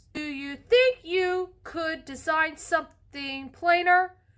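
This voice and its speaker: Using a put-on character voice, a woman speaks at an extremely high pitch with ordinary pitch variation and a fairly slow pace. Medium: read story. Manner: polite, gentle.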